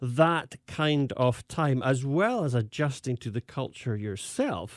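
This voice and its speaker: Fairly slow, fairly high male speech with ordinary pitch variation, dry and close with no echo, on a very clean recording with a silent background. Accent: Scottish. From Scotland. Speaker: pastor. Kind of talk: interview. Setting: studio. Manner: halting, with many fillers.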